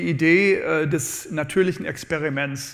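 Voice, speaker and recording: In an English accent, a man talks at a very slow pace. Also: quiet background. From USA (born in New Orleans). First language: English (speaking German). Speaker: economics professor; professor giving a public lecture. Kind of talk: lecture. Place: hall. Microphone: lapel.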